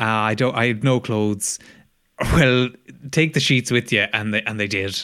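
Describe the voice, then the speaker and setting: A man with an Irish accent speaks at a moderate pace in a medium pitch, his intonation fairly even and broken by long, frequent pauses. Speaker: comedy podcast co-host. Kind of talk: casual chat.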